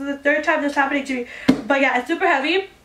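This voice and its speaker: Noticeable background noise lies under speech delivered at a very fast pace. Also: woman. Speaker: beauty youtuber. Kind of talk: casual chat.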